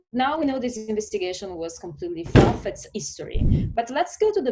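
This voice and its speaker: A woman with an Italian accent speaks in a dark, mellow tone. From southern Italy. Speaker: lawyer and diplomat. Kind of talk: interview. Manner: hesitant, many fillers.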